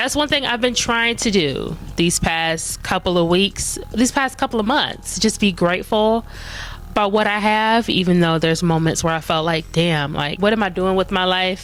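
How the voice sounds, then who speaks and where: A woman speaks at a moderate pace in a medium pitch, her intonation lively, with noticeable background noise behind her. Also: very even loudness. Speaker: vlogger. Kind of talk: casual chat. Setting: at home in front of Christmas tree. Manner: rambling, conversational.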